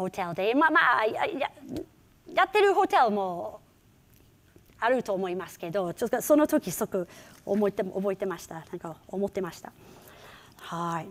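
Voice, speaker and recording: At a fairly slow pace, a woman with an English accent talks at a medium pitch in an animated tone, her voice making very wide pitch swings and big swings in loudness. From England, Liverpool; England. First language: English (speaking Japanese). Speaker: rakugo performer; keynote speaker, comic storyteller. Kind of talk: keynote talk. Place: hall. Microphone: lapel.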